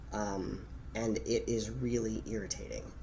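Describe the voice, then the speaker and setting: A man at a very slow pace, with audible room echo. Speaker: vlogger. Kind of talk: personal reflection vlog. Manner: dynamic, expressive speech pattern.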